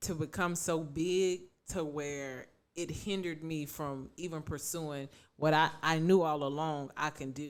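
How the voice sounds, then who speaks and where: A woman with a very deep, low pitch, speaking at a very slow pace, on a very clean recording with a silent background. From Baltimore and Louisiana. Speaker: podcast co-host. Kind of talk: casual chat.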